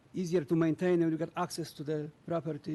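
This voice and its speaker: A man with a non-native accent has a fairly high pitch and a dark, mellow tone. His intonation stays fairly even. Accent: noticeable foreign. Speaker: property owner, public commenter. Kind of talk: public comment statement.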